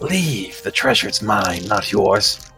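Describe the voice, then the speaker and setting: A man's put-on character voice, fairly low in pitch and fairly slow, with clear music in the background. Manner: hissing, hostile.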